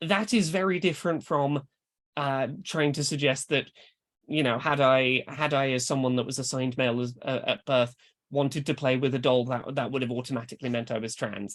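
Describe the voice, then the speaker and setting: A woman's very deep, low voice against a quiet background. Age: adult. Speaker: author and speaker. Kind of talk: lecture. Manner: halting, self-correcting.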